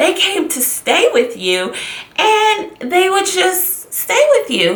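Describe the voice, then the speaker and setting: A woman speaks in a dramatic tone at an extremely high pitch, her voice swinging very widely, with noticeable background noise. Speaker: YouTuber / vlogger. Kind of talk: casual talk to camera, storytelling. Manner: dramatic, expressive, chatty.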